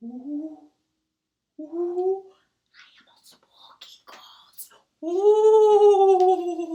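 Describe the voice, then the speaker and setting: An extremely high-pitched, put-on character voice moves at a very slow pace, broken by long, frequent pauses. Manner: spooky.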